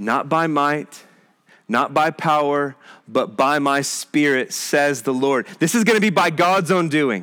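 An ordinary speaking voice with an American accent, fairly slow, with lively intonation and very even loudness. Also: man, fairly high pitch for a man. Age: 40s. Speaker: pastor. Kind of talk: sermon.

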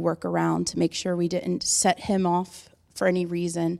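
Recorded very cleanly against a silent background, a woman of medium pitch talks in an unremarkable speaking voice. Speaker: church member giving testimony. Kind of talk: testimony. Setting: church with congregation.

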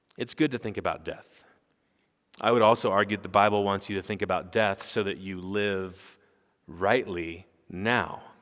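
A man speaks at a moderate pace with fairly even intonation and a fairly low pitch. His is an unremarkable speaking voice, on a very clean recording with a silent background. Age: 40s. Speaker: pastor. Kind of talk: sermon.

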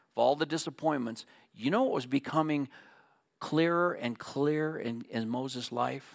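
Delivered at a moderate pace with fairly even intonation, this is a normal speaking voice on a very clean recording with a silent background. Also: man. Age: 60s. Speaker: pastor. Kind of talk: sermon.

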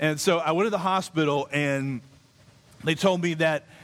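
A man's voice with ordinary pitch variation. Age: 30s. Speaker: pastor. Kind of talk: sermon.

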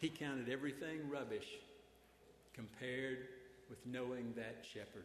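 A Southern US accent at a moderate pace, with fairly even intonation, long, frequent pauses and audible room echo. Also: man, medium pitch for a man. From Arkansas. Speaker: preacher. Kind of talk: sermon. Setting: church.

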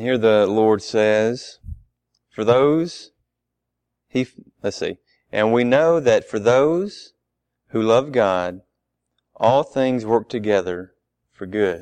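Over a quiet background, a man speaks at a very slow pace and medium pitch, with ordinary pitch variation and long, frequent pauses. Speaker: guest preacher. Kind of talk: sermon. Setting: church. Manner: soft-spoken.

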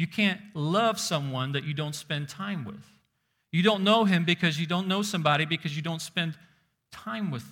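A man's high voice with a bright, sharp tone, ordinary pitch variation, big swings in loudness and a moderate pace. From Soviet Union. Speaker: pastor. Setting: church service with congregation. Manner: direct, engaging, calling for raised hands; earnest, building repetitive cadence of chained 'so that you might' clauses.

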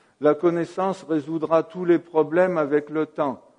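The voice has a dark, mellow tone. It moves at a fairly slow pace. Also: man. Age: 60s. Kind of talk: sermon. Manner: halting.

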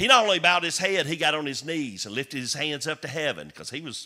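A man with a Southern US accent at a very fast pace, fairly high pitch, vocal fry, a bright, sharp tone and lively intonation. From US South. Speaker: comedian and former pastor. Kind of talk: sermon. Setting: church. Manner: animated.

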